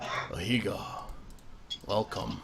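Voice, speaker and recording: A man's put-on character voice, raspy and fairly low, with clear background noise. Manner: booming, regal.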